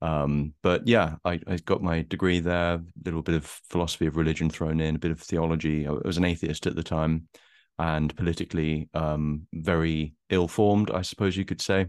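A man with an Essex accent speaks in a very deep, low voice at a moderate pace, monotone and flat, with hardly any pauses against a quiet background. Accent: southern English, Essex. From Essex, England. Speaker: anonymous writer and YouTuber. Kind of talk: casual interview conversation. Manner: hesitant, repeats words.

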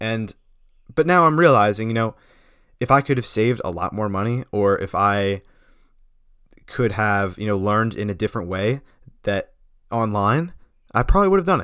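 Long, frequent pauses in an animated tone at a moderate pace, on a very clean recording with a silent background. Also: man, fairly low pitch for a man, lively intonation. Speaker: podcast host. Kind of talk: solo monologue.

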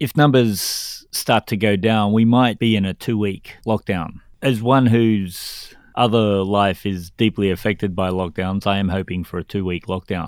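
A man speaks at a fairly slow pace with hardly any pauses, his pitch fairly low and intonation fairly even. The recording is very clean, with a silent background. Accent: Australian. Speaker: podcast co-host. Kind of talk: political commentary podcast.

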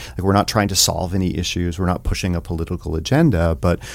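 With an American accent, a man speaks in a very deep, low pitch with ordinary pitch variation, captured in a very clean recording with a silent background. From US South, rural East Tennessee. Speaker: theater director and teacher. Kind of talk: casual interview.

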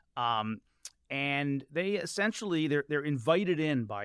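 A man with a normal speaking voice and an American accent talks at a moderate pace, his pitch fairly high and his intonation lively, in a very clean recording with a silent background and a dry, close sound with no echo. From Washington DC area. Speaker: journalist and author. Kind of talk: casual interview conversation. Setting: studio.

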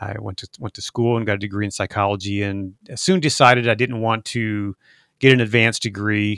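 Recorded very cleanly against a silent background, with a dry, close sound and no echo, a man with an unremarkable speaking voice talks fairly quickly at a fairly low pitch and fairly even intonation. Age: 50s. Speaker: documentary filmmaker and podcast host. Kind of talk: interview conversation.

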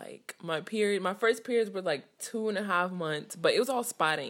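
A woman is speaking. She has a Californian accent. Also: very clean recording, silent background. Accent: Californian American English. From US West Coast (Richmond, California). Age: 20s. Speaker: school bus driver. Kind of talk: personal testimony interview.

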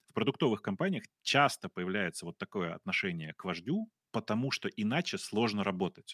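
Dry and close with no echo, a man with a plain, everyday voice talks at a moderate pace and a fairly low pitch. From Russia. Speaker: podcast co-host. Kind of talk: casual chat. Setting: livestream.

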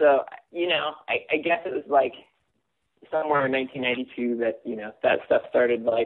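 A man with an American accent, at a moderate pace with fairly even intonation. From California, Simi Valley. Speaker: former music journalist and author. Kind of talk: casual chat.

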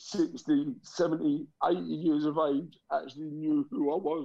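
A man speaks in a London accent at a fairly high pitch. His intonation stays fairly even. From London, England (raised from age ~5; born Liverpool). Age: 40s. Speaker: motivational speaker, former gangster. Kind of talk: interview testimony.

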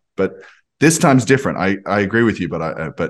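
A man speaks in an Australian accent. His intonation is lively. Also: quiet background. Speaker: podcast host. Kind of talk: casual interview.

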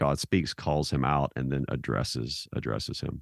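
A man with an American accent speaks at a moderate pace with vocal fry, his dry, close sound carrying no echo against a quiet background. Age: 50s. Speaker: theologian and author. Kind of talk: interview.

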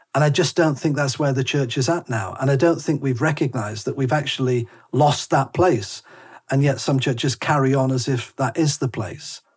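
A moderate pace carries this somewhat breathy voice, whose pitch varies in an ordinary way. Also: man, fairly high pitch for a man. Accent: northern English. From northern England. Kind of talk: interview conversation. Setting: remote call.

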